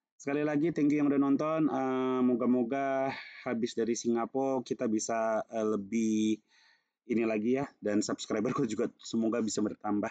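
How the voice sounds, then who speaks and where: The voice has a dark, mellow tone, very even loudness and fairly even intonation, with a dry, close sound with no echo over a quiet background. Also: man, medium pitch for a man, moderate pace. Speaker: stock market youtuber. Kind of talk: casual market commentary. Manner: casual, hesitant with many fillers.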